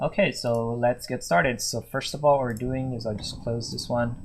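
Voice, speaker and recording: At medium pitch, a man talks at a moderate pace in a somewhat breathy voice. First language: Japanese. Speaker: interaction designer. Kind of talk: tutorial. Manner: halting.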